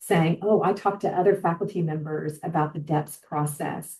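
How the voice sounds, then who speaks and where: A woman talks in a somewhat breathy voice, keeping her intonation fairly even. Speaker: healthcare organizational well-being leader. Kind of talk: webinar presentation; answering audience question. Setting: online webinar.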